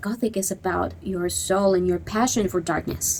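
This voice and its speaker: A woman's medium-pitched voice with a non-native accent. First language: not English. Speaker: goth subculture commentator. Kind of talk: opinion monologue. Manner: animated.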